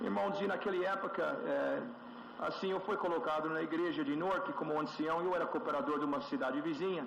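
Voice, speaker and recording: Amid noticeable background noise and audible room echo, a man with a Brazilian accent talks at a fairly quick pace in a high-pitched voice, swinging very widely in pitch while holding his loudness very even. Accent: sounds Brazilian when speaking Portuguese. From USA. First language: English (speaking Portuguese). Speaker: church elder. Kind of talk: testimony. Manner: halting, with frequent fillers.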